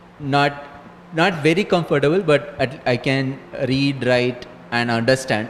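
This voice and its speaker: A man with an Indian accent at a fairly slow pace, with very even loudness, ordinary pitch variation and noticeable background noise. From southern India (Chennai). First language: Saurashtra. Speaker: astronomer, lecturer. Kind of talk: interview; lecture. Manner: halting.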